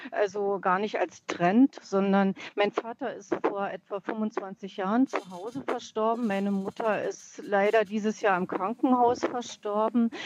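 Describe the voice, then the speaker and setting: A woman with an ordinary speaking voice and a medium pitch talks at a fairly slow pace with hardly any pauses and ordinary pitch variation. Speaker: caller. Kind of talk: phone-in testimony. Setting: phone call from a parked car.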